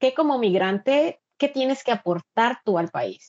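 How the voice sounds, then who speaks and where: The pace is very slow as a woman talks. She varies her pitch in an ordinary way. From Mexico, Veracruz coast. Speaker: migrant and university instructor. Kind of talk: interview. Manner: halting with frequent repetitions.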